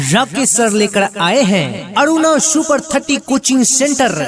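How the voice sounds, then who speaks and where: The tone is energetic and the loudness very even. Music plays in the background. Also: man, extremely high pitch for a man, lively intonation. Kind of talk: radio-style coaching centre advertisement. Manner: energetic announcer style.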